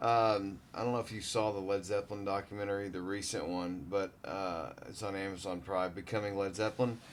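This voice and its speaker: A man's normal speaking voice at a fairly low pitch, fairly quick in pace, with fairly even intonation. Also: hardly any pauses. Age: 40s. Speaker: podcast host. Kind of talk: casual chat.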